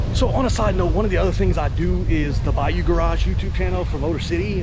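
A man talking very fast, in dry sound with no echo, over loud background noise. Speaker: vlogger. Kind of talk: casual vlog chat. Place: open country. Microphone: phone near.

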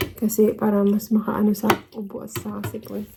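A woman is talking at a fairly slow pace. Her pitch is medium. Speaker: vlogger. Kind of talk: casual vlog talk to viewers. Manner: animated.

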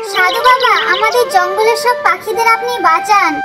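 Cartoonish character voice at an extremely high pitch. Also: moderate pace.

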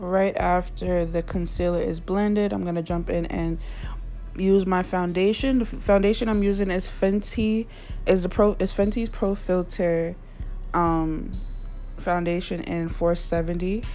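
Over faint background music, a woman speaks at a fairly slow pace, leaving long, frequent pauses. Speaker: beauty vlogger. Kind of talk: casual talk to camera. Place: home room. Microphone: phone near.

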